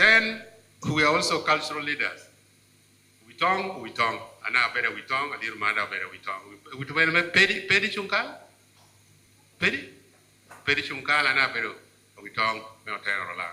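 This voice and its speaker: Over noticeable background noise, a man with a Ugandan accent talks at a fairly quick pace and a fairly high pitch, with very wide pitch swings and long, frequent pauses. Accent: Ugandan (Lango) English. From Uganda, Lango region. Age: 70s. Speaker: politician and cultural leader speaking at event. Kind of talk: formal speech at book launch.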